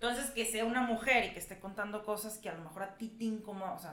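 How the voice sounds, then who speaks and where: A woman's mid-range voice is heard through clear room echo and noticeable background noise. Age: 30s. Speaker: stand-up comedian. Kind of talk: casual chat.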